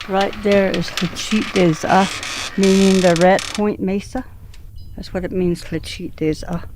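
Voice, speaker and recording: Noticeable background noise sits behind a woman speaking at a medium pitch. She goes at a fairly slow pace with monotone, flat intonation. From Navajo Nation, New Mexico. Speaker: community elder. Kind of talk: interview.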